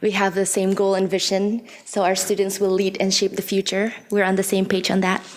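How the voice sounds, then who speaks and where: Noticeable background noise accompanies a woman. She speaks at a moderate pace and a medium pitch. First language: not English. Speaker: parent giving public comment. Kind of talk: public comment speech. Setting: podium at public board meeting. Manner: halting.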